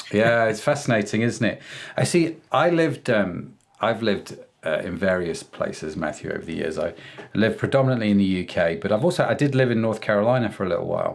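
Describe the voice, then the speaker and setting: A man with an English accent, medium in pitch, talking at a very fast pace with lively intonation. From England. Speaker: podcast host. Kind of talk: casual interview chat.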